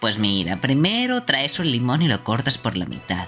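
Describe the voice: A woman puts on a character voice with extremely low pitch, very wide pitch swings and a fairly bright tone. She speaks at a moderate pace over faint background music.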